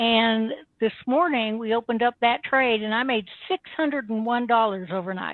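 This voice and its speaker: A woman talks at a moderate pace with a fairly high pitch and ordinary pitch variation. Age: 60s. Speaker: trading service customer. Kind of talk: testimonial interview. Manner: animated.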